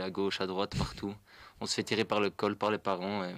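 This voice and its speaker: In a very clean recording with a silent background and a dry, close sound with no echo, a man speaks in a monotone, flat intonation at a fairly low pitch. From Flanders, Belgium. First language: Dutch (speaking French). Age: 20s. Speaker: young cyclist, pump track builder. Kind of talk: radio interview.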